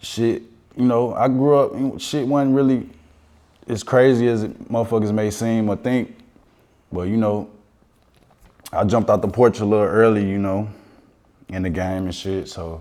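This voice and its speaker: A man's fairly low, dark, mellow voice with an American accent and ordinary pitch variation. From Chicago South Side, Roseland. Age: 30s. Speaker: rapper. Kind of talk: casual interview.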